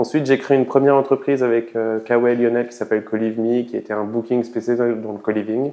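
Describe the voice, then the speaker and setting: This man has a medium pitch and a monotone, flat intonation. He keeps a fairly quick pace. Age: 30s. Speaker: startup co-founder. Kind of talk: interview. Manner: hesitant with fillers.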